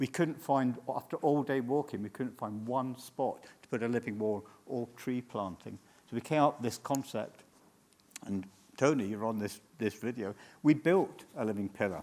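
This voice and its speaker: This man has a medium pitch and ordinary pitch variation. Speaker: urban greening entrepreneur. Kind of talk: conference presentation. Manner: fast.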